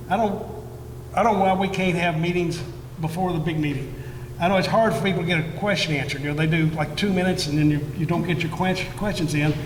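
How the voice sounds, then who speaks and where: Loud and at a very fast pace, a man speaks with high pitch and fairly even intonation, amid noticeable background noise and audible room echo. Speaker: school board candidate. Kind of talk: candidate forum answer. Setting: event hall with audience. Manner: halting.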